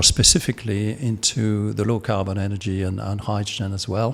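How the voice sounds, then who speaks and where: At a moderate pace and medium pitch, a man speaks with a French accent. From France. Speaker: podcast host. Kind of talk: interview. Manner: halting.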